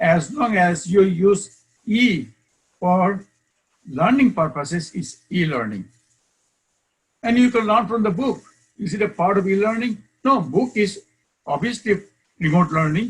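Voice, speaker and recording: A man with a high-pitched voice speaks fairly slowly, with lively intonation. He leaves long, frequent pauses. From Bangladesh, Chittagong. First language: Bengali. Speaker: professor. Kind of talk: lecture. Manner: loud.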